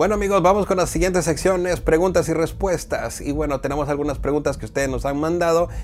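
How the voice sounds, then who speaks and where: Amid noticeable background noise, a man with a fairly high pitch talks at a very fast pace with hardly any pauses and fairly even intonation. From Guatemala. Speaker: podcast host. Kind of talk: casual chat.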